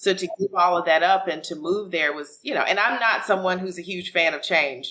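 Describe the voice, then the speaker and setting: A woman with an American accent and a plain, everyday voice talks at a fairly quick pace, her fairly low pitch showing ordinary variation. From US South, Alabama. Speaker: author and business professional. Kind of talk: interview.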